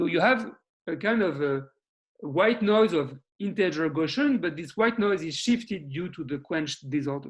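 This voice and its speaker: Lively in intonation and high in pitch, a man speaks at a moderate pace. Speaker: mathematics researcher. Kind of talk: lecture. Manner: halting, repeats words.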